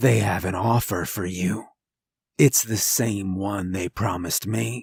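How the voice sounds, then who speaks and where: In a raspy, put-on character voice, a man speaks at a fairly slow pace with a very deep, low pitch. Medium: read story. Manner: cryptic, intense.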